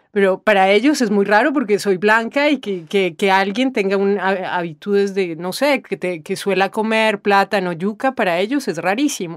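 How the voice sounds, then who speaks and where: Hardly any pauses break up the speech. Its pace is moderate. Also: woman, very clean recording, silent background. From Colombia, after childhood moving through Latin America. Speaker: interviewee in a textbook listening exercise. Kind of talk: personal testimony answer. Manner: hesitant, with fillers and repetitions.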